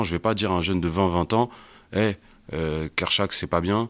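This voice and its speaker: Moderate pace and fairly even intonation on a very clean recording with a silent background. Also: man. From Paris suburbs (Val-de-Marne). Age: 30s. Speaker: entrepreneur, agency co-founder. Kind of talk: casual interview. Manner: halting, repeats words.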